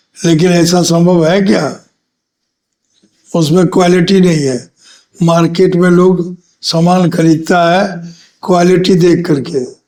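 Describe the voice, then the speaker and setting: A man speaks in a high pitch with a dark, mellow tone and very even loudness. His intonation is monotone and flat, broken by long, frequent pauses. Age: 70s. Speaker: former politician. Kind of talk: interview.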